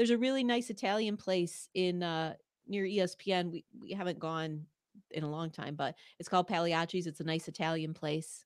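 A woman speaks in a normal speaking voice at a medium pitch and moderate pace. The recording is very clean, with a silent background. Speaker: sports podcaster and Bills fan. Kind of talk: casual chat. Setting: home studio. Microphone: large studio microphone.

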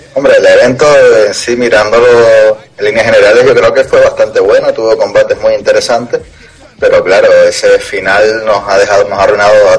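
A man is talking fairly quickly, and there is noticeable noise behind him. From Canary Islands (Tenerife). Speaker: MMA podcast co-host. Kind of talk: casual chat.

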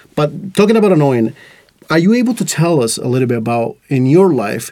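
Speaking very fast with a Latin American accent, a man has a dark, mellow tone. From Costa Rica. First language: Spanish. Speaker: podcast host. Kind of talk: casual chat. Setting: studio.

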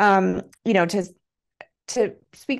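A woman with an American accent, an ordinary speaking voice, medium pitch and ordinary pitch variation, over a quiet background. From Montana, US. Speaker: writer and PR strategist. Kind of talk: podcast interview.

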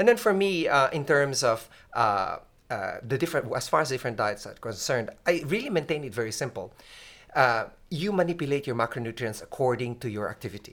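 A man talks fairly quickly at a medium pitch with lively intonation. He has an ordinary speaking voice. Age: 50s. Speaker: physician. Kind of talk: interview.

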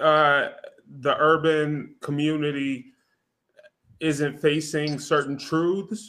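In an American accent, a man talks very slowly at a fairly high pitch. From US West Coast. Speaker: podcast co-host. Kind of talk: casual chat. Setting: live stream.

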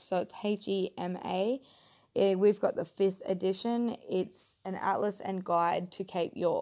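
A woman with a Queensland accent talks at a fairly slow pace, with a medium pitch, a dark, mellow tone and fairly even intonation. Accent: Queensland Australian. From Queensland, Australia (Mackay). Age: 20s. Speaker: podcast host. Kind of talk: casual monologue. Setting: home lounge room. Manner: halting.

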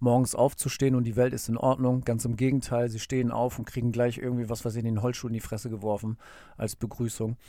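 A very clean recording with a silent background of a man at a medium pitch, dark and mellow in tone, monotone and flat in intonation, at a fairly quick pace. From northern Germany, Bremerhaven. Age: 30s. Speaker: podcaster. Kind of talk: casual monologue. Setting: home recording booth. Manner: casual with many fillers.

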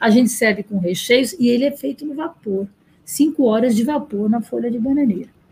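Somewhat breathy and fairly high, a woman's voice has a dark, mellow tone, ordinary pitch variation and a moderate pace. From Bahia, Brazil. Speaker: restaurant owner. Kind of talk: interview.

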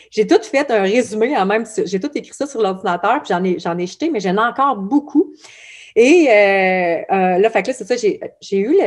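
With a Quebec accent, a woman speaks at a fairly slow pace in a fairly high pitch, her intonation lively. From Quebec, Abitibi. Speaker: blog founder. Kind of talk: podcast interview. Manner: casual, many fillers.

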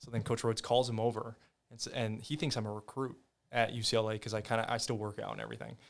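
A man with a Midwestern US accent talks at a very fast pace in a monotone, flat intonation and a medium pitch. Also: big swings in loudness. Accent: US Midwest. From Iowa (Ames), early childhood in California. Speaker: former college football player. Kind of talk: casual interview chat. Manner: halting, many fillers.

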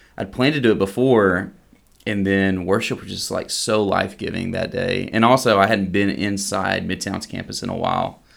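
A man in a Southeast Texas accent, pitched fairly low. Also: ordinary pitch variation, moderate pace. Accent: Southeast Texas Southern US. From Southeast Texas, near Beaumont. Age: 30s. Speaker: seminary student. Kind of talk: casual chat. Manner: halting with repetitions.

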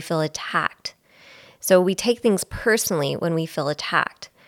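An ordinary speaking voice with a Canadian accent, at a moderate pace with ordinary pitch variation, on a very clean recording with a silent background and a dry, close sound with no echo. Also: woman. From Belleville, Ontario, Canada. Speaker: podcast co-host. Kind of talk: casual chat.

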